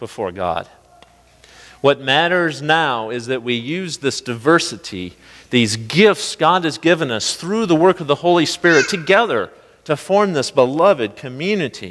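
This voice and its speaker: In a normal speaking voice, the speaker uses lively intonation at a fairly slow pace. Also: man. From US Midwest. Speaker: pastor. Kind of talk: sermon. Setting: church. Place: church.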